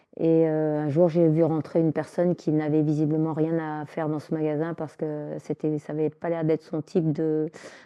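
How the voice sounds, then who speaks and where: Very deep and low, a woman's voice moves at a moderate pace with monotone, flat intonation. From Alsace, France. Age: 60s. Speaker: retired Buddhist practitioner. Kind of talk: documentary interview. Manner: hesitant.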